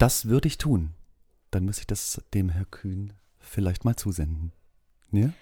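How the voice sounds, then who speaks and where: In a very clean recording with a silent background, a somewhat breathy voice with a dark, mellow tone moves at a fairly slow pace, using lively intonation and long, frequent pauses. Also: man, fairly low pitch for a man. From southern Germany. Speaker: school social worker. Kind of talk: interview. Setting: school basement studio.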